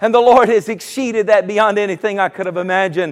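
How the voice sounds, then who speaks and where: With a Southern US accent, a man speaks in an animated tone at a high pitch. His pitch variation is ordinary. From US South, South Carolina. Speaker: pastor. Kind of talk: sermon.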